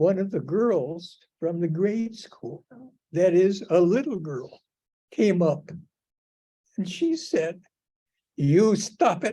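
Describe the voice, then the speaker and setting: This man talks very slowly, with long, frequent pauses, in a high voice with a dark, mellow tone. His pitch varies in an ordinary way. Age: 80s+. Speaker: cancer patient speaking on death and dying. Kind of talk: personal talk to a group. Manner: halting.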